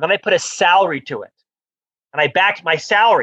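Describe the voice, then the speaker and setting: A man's bright, sharp voice with lively intonation, in a dry, close sound with no echo. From US South, Florida (Orlando). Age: 50s. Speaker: author and business executive. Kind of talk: interview.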